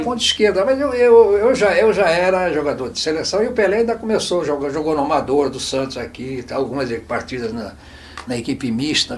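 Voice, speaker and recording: Amid noticeable background noise, a man with a high pitch talks at a moderate pace with very wide pitch swings. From Santos, Brazil. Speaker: former footballer and coach. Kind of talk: oral history interview answer. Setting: studio.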